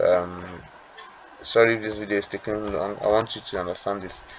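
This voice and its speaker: Against noticeable background noise, a man's fairly low voice runs in a monotone, flat line. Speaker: trading educator. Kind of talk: tutorial. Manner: fast; hesitant, with fillers and repetitions.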